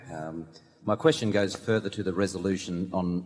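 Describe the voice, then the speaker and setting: A man with a very deep, low pitch speaks with an Australian accent. His pace is fairly quick and his intonation fairly even. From Australia (Sydney). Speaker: shareholder asking a question at a meeting. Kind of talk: audience question at shareholder meeting.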